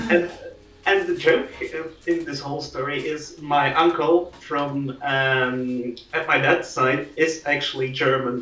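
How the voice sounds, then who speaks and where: Over noticeable background noise and audible room echo, a man speaks fairly slowly at a fairly high pitch with fairly even intonation. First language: Dutch (Flemish). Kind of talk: casual chat.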